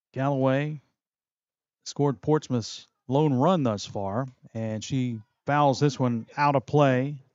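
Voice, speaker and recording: A man speaks at medium pitch and a very slow pace. Long, frequent pauses break up his speech. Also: fairly even intonation. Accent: West Virginia. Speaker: play-by-play sports broadcaster. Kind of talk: live commentary.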